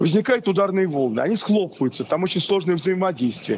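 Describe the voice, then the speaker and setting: Over light background noise, a man speaks at a fairly quick pace with ordinary pitch variation. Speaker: academic examiner. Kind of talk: academic discussion. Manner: animated. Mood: thoughtful, critical questioning. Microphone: video call.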